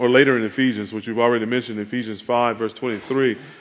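Soft-spoken and at a medium pitch, a man talks at a moderate pace. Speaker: pastor. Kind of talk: sermon.

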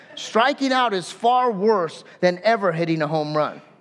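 Pitched high with very wide pitch swings, a man speaks in an American accent. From Southern California. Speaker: pastor. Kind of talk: sermon. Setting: church service with congregation.

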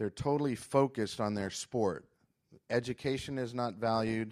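A man with an American accent talks at a moderate pace in an unremarkable speaking voice, his pitch medium, on a very clean recording with a silent background. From Florida and Venezuela. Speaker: missionary. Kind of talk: testimony. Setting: church service with congregation.

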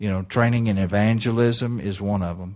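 A man speaks in an unremarkable speaking voice, fairly low in pitch, with fairly even intonation at a moderate pace in a very clean recording with a silent background. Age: 60s. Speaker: missionary evangelist. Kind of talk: sermon. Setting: church.

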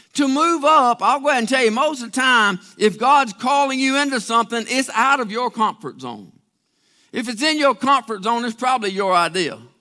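A man projects a raised voice with a bright, sharp tone at an extremely high pitch, talking at a fairly quick pace with ordinary pitch variation. The recording is very clean, with a silent background. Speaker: pastor. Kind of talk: sermon. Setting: church. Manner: plain-spoken, conversational, Southern-style preaching.

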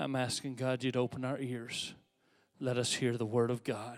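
Speech from a man, very clean recording, silent background. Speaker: pastor. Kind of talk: sermon. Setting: church. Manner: earnest, preacherly, exhorting; urgent, rhetorical questions.

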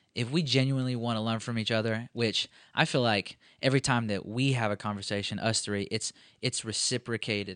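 A man with a normal speaking voice, medium pitch, fairly even intonation and a fairly quick pace, in a dry, close sound with no echo and a quiet background. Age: 20s. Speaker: college pastor. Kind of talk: casual chat. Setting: office.

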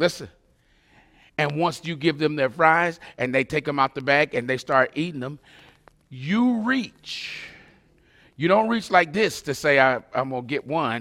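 A man speaks at a fairly slow pace in a bright, sharp, animated tone, his intonation lively and his pauses long and frequent. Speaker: pastor. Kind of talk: sermon. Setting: recorded online church service.

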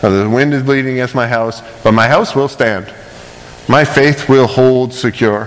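Ordinary pitch variation in a man's medium-pitched speech, with noticeable background noise behind it. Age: 30s. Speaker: pastor. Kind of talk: sermon. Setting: church. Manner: fast.

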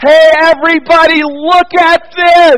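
In a put-on character voice, a man speaks at an extremely high pitch and a fairly slow pace.

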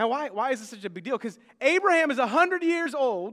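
A man with an American accent projects a raised voice in a bright, sharp tone, using lively intonation at a moderate pace. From United States. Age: 30s. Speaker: pastor. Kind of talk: sermon. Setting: church.

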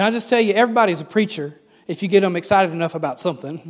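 The speaker is a man with an American accent. His voice is high, with ordinary pitch variation. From US South. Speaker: pastor. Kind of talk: sermon.

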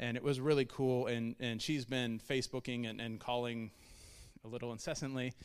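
A man at a medium pitch speaks at a fairly quick pace in a flat monotone, on a very clean recording with a silent background. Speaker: church member on missions team. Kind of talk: church testimony talk. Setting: church service. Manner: fast.

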